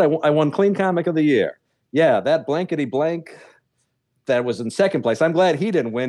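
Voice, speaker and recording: A fairly high-pitched male voice at a very fast pace, dry and close with no echo, over a quiet background. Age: 40s. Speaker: stand-up comedian and show producer. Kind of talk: casual interview chat.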